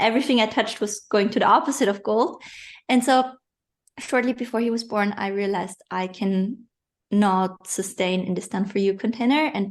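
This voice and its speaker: Against a quiet background, the speaker uses a non-native accent, a moderate pace, and ordinary pitch variation. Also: woman, medium pitch for a woman. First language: not English. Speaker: online business coach. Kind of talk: interview. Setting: podcast.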